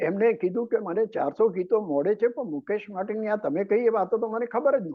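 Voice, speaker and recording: This man's voice sits high in pitch, with lively intonation. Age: 80s+. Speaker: political analyst, anchor, story writer. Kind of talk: interview answer.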